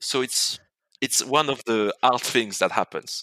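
A man with a French accent speaks at a moderate pace in a bright, sharp tone, on a very clean, dry, close recording with no echo and a silent background. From France. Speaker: real estate entrepreneur. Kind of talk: interview.

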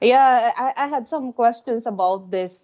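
Against a quiet background, a woman with a dark, mellow tone speaks at a very slow pace in a Filipino accent. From Philippines. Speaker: heavy metal musician. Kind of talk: casual chat. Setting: phone call. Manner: halting.

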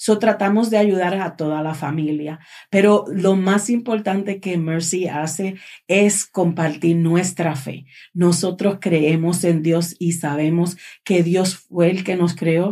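A woman's dark, mellow voice, fairly low in pitch, with a very slow pace and fairly even intonation. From Puerto Rico. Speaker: charity director. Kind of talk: casual chat.

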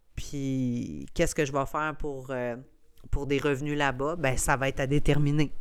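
In a very clean recording with a silent background, a woman with a Quebec accent speaks fairly slowly at a very deep, low pitch. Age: 30s. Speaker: podcast host, entrepreneur. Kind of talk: casual solo monologue.

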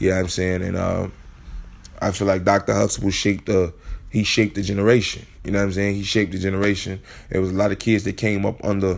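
Flat and monotone, a man speaks very fast at a fairly low pitch. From Chicago. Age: 30s. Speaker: podcast host. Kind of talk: casual monologue. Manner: laid-back.

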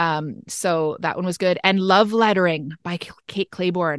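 In a dry, close sound with no echo, an ordinary speaking voice moves at a moderate pace with fairly even intonation. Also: woman. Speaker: podcast host. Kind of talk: casual chat.

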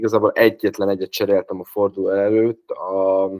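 The sound is dry and close, with no echo, as a man speaks at a fairly slow pace. His fairly low voice stays in a monotone, flat intonation. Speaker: fantasy football player. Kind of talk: casual chat.

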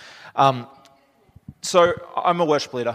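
Speaking with an Australian accent, the man uses ordinary pitch variation. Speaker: missionary, church speaker. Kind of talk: sermon.

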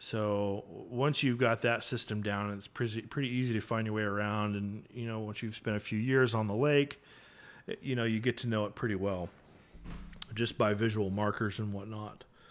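Here a man has an unremarkable speaking voice with a fairly low pitch. He talks at a moderate pace. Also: fairly even intonation. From North Texas, McKinney. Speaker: photographer. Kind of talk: casual interview.

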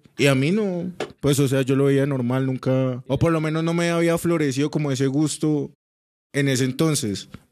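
At a moderate pace and very even loudness, a man with an unremarkable speaking voice talks at a fairly high pitch with fairly even intonation. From Colombia, Cúcuta. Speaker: podcast guest. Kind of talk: casual chat.

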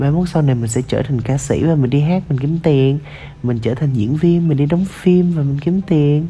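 A moderately paced voice comes through with noticeable background noise behind it. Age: 20s. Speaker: podcaster. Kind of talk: personal monologue. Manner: halting.

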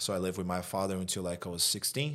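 A man's very deep, low voice with a Brazilian accent, on a very clean recording with a silent background. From Brazil, Rio de Janeiro. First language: Portuguese. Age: 30s. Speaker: dating coach. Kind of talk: casual interview chat. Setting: studio. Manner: animated, blunt.

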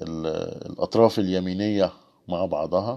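This man's very deep, low voice has a dark, mellow tone and fairly even intonation. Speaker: livestream host. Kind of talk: casual livestream talk. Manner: halting.

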